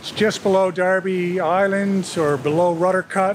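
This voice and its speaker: The speaker is a man with a high pitch. Background noise is noticeable. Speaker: boat owner vlogger. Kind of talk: casual vlog chat. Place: boat. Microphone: phone near.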